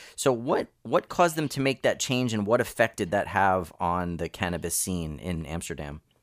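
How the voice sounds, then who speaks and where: With an American accent and an ordinary speaking voice, a man talks at a fairly low pitch and moderate pace with lively intonation and hardly any pauses, on a very clean recording with a silent background. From United States. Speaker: podcast host. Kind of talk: scripted narration; interview.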